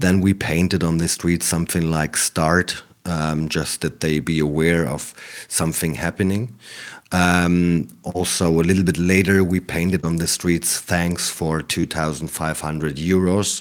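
The recording is very clean with a silent background. A man speaks at a fairly slow pace in a very deep, low voice. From East Germany, small town. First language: German. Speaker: anti-extremism worker. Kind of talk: interview. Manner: halting.

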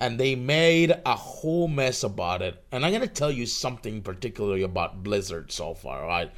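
The voice carries vocal fry and a Spanish accent, with very wide pitch swings. The recording is very clean, with a silent background. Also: man. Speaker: podcast host. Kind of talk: solo livestream podcast, casual. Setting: live stream.

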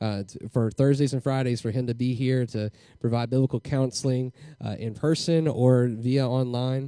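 Fairly even intonation in a Southern US accent. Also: man, medium pitch for a man, moderate pace. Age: young. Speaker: pastor. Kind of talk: speaker introduction. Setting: church. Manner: halting.

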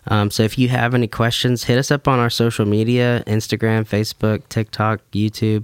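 Dry and close with no echo in a very clean recording with a silent background, a man with a Southern US accent speaks at a medium pitch and moderate pace with monotone, flat intonation. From US South, Baldwin County, Alabama. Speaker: worship pastor. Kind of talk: casual chat.

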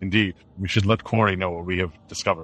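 Speaking at a very fast pace, a man puts on a character voice with a very deep, low pitch. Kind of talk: formal, old-fashioned speech. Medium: actual play. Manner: stiff and polite.

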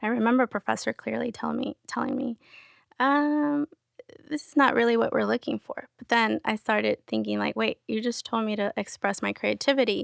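With a Spanish accent, a woman talks at a fairly quick pace in a dry, close sound with no echo. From Querétaro, Mexico, raised San Diego. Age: 30s. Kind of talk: casual interview chat.

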